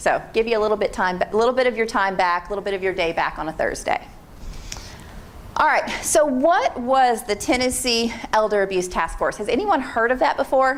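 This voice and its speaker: A woman with an American accent at a fairly high pitch, fairly quick and lively in intonation, with noticeable background noise. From Pennsylvania. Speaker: state aging agency program manager. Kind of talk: presentation to an audience. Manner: fast; informal.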